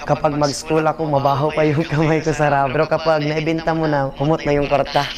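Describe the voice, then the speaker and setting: A man speaks at a very fast pace and a fairly high pitch, with very even loudness and monotone, flat intonation. Noticeable background noise is present. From Mindanao, North Cotabato (Magpet). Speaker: singer and performer. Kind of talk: interview.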